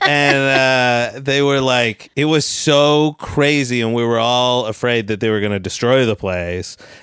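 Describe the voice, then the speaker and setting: A man with a normal speaking voice goes at a fairly slow pace and medium pitch, with ordinary pitch variation and hardly any pauses. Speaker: comedian. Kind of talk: casual chat.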